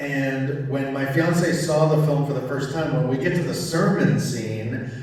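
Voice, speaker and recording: A man with a fairly high pitch and fairly even intonation is heard through audible room echo and noticeable background noise. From Cuba. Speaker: filmmaker and musician. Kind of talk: festival Q&A. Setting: stage with audience.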